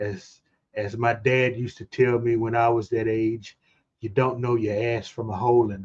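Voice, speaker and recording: Somewhat breathy and medium in pitch, a man speaks at a moderate pace with monotone, flat intonation and big swings in loudness. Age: 60s. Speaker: streamer hosting a movie channel. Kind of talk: casual chat. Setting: live stream.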